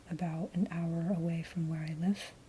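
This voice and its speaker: A soft-spoken woman's fairly low voice, dark, mellow and somewhat breathy, with monotone, flat intonation. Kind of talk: soft-spoken ASMR rambling to camera. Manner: soft-spoken, hesitant, rambling.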